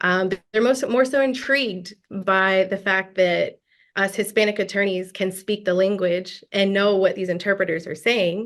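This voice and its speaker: A woman with an American accent talks in an unremarkable speaking voice at a moderate pace and medium pitch. Her intonation is fairly even, and the background is quiet. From US South, Gwinnett County, Georgia. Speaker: lawyer. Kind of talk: interview.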